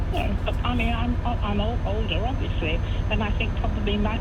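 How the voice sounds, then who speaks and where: Someone speaks at a fairly quick pace amid noticeable background noise and audible room echo. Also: woman. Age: 80s+. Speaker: caller. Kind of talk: radio phone-in discussion.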